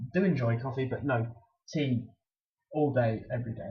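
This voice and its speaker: With background music playing, a man's medium-pitched voice shows ordinary pitch variation. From England, Bristol. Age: 20s. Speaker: student athlete vlogger. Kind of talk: casual vlog Q&A. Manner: halting, many fillers and repeats.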